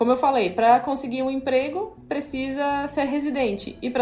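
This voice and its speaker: A woman talks at a moderate pace. Noticeable background noise and audible room echo are both present. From southern Brazil. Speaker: software developer. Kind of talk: casual interview.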